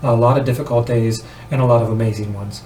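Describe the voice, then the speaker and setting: At a fairly quick pace, a man talks at a medium pitch. Audible room echo and noticeable background noise fill the recording. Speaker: vlogger on weight loss. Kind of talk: casual vlog monologue. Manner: halting, many fillers; animated.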